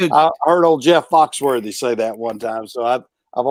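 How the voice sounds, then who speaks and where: A man with a Southern US accent, ordinary pitch variation, and a dry, close sound with no echo. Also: medium pitch for a man, moderate pace. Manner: hesitant, frequent fillers.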